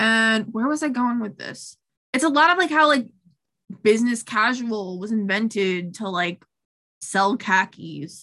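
Fairly high in pitch, a woman with an American accent uses an unremarkable speaking voice and lively intonation. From Long Island, New York. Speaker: flutist and music education student. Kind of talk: casual chat.

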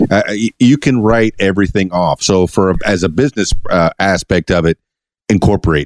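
A man with an American accent talks at a moderate pace, his loudness very even and his pitch variation ordinary. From Florida Keys. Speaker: podcast host and DJ. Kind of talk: casual interview. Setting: studio. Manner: animated.

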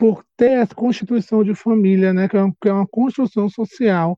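The man's voice is high in pitch, and his intonation stays fairly even. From Brazil, Salvador, Bahia. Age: 30s. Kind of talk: casual chat.

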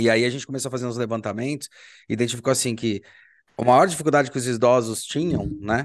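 Against a quiet background, a man uses a normal speaking voice at medium pitch with fairly even intonation. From Brazil. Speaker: podcast host and university professor. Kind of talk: casual interview.

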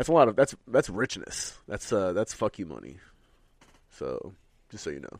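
A man with an animated tone, vocal fry and very wide pitch swings, speaking at a moderate pace with long, frequent pauses on a very clean recording with a silent background. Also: medium pitch for a man. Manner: animated, profane.

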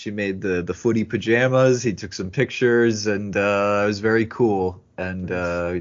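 This is a man speaking. His pitch is fairly low. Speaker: podcast host. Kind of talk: casual banter between co-hosts.

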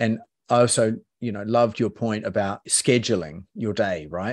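A man talks at a moderate pace in a plain, everyday voice, his pitch fairly low, against a quiet background. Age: 40s. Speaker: podcast host. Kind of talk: casual interview.

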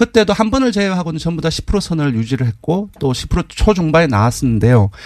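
A man's fairly high-pitched voice rises and falls in very wide pitch swings. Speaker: polling analyst. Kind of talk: interview about poll results.

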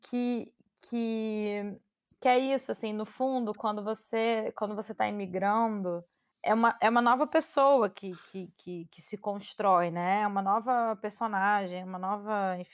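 Recorded very cleanly against a silent background, the speech moves at a fairly slow pace with ordinary pitch variation and big swings in loudness. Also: woman, fairly high pitch for a woman. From Brazil. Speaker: podcast co-host. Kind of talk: casual chat. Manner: halting.

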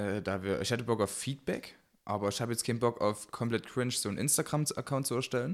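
A man speaks very fast at a medium pitch with ordinary pitch variation, in a very clean recording with a silent background. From Saxony, Germany. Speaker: podcast co-host. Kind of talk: casual chat. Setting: home gaming room.

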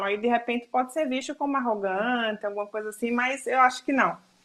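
A woman rattles along at a very fast pace with hardly any pauses. Her pitch is high and her intonation fairly even. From Brazil, Alagoas (Northeast). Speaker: photographer. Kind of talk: interview.

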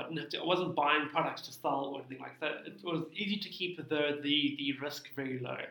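A man with a fairly high voice talks at a fairly quick pace and fairly even intonation, with noticeable background noise and audible room echo. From South Africa, Cape Town. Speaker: tax practitioner, small business owner. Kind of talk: interview.

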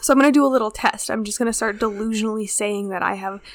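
At a very fast pace, a woman talks with a fairly high pitch and fairly even intonation. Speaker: podcast co-host. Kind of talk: casual chat. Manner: casual, chatty, laughs often.

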